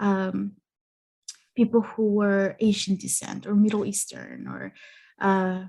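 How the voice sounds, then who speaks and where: A woman with a Spanish accent speaks at a fairly slow pace and a medium pitch. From Mexican-American, US. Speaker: therapist and psychology content creator. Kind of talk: podcast interview. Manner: halting, many fillers.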